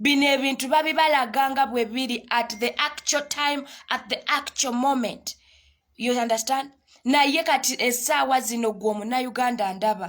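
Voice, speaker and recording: High pitch from a woman, moderate tempo and fairly even intonation. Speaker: online talk show host. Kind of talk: live stream commentary. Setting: live video stream. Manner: code-switching English and Luganda.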